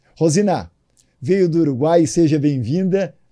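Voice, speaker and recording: Dark, mellow tone with ordinary pitch variation. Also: man. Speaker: podcast host. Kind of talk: podcast interview.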